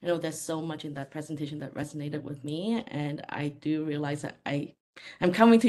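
A woman speaks at a fairly quick pace with a low pitch. Her tone is slightly mellow.

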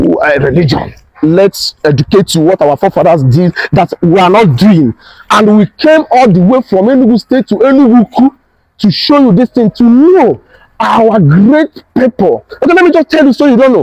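A man speaks with very wide pitch swings against a quiet background, the sound dry with no echo. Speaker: tour guide vlogger. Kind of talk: casual vlog chat. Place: garden. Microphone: lapel.

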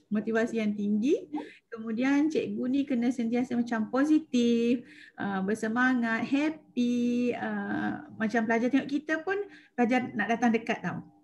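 Fairly slow delivery from a woman with ordinary pitch variation, over light background noise. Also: fairly high pitch for a woman. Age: 40s. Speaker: secondary school maths teacher. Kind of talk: webinar presentation. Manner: halting, many fillers. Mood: warm, enthusiastic. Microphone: video call.

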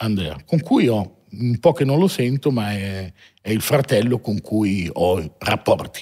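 Against a quiet background, a man speaks at a fairly slow pace with a fairly low pitch, a dark, mellow tone, and very wide pitch swings. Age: 40s. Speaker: watch dealer, entrepreneur; podcast guest. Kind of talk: interview, life story. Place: studio. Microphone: studio mic.

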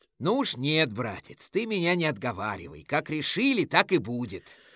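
In a very clean recording with a silent background, a woman uses a put-on character voice that is very deep and low, with very wide pitch swings at a moderate pace. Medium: read story. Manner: cocky, eager, mischievous.

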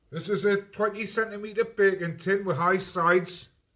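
A man with a high pitch talks over noticeable background noise. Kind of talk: cooking tutorial. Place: kitchen.

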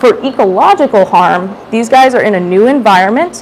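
A woman talks at a moderate pace with light background noise behind her. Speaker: educator giving a public talk. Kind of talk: lecture. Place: hall.

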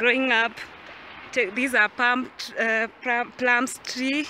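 Very slowly and in a flat monotone, a woman speaks at a high pitch, the sound dry with no echo and light background noise behind her. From Kenya, central (Limuru area); Kenya. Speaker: vlogger. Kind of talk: casual vlog talk to camera. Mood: nostalgic, cheerful. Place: farm. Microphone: phone near.

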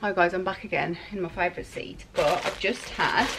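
Noticeable background noise fills the clip. Over it, a woman talks at a fairly quick pace. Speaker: lifestyle vlogger. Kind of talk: casual vlog chat. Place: home room. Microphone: phone near.

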